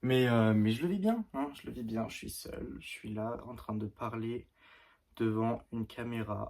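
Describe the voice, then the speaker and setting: A man speaks at a medium pitch and a fairly slow pace, with ordinary pitch variation. His loudness swings widely. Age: 20s. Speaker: beginner YouTuber. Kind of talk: casual vlog to camera. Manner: halting, hesitant.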